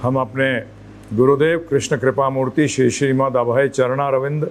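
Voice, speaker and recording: A man is speaking. He has a normal speaking voice. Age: 60s. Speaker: spiritual teacher. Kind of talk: lecture.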